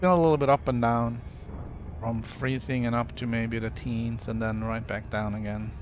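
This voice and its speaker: A man speaks with a slight Norwegian accent at a medium pitch and a moderate pace. His pitch varies in an ordinary way, and room echo is audible. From Norway. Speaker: video game streamer. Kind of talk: casual chat. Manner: relaxed, with many fillers.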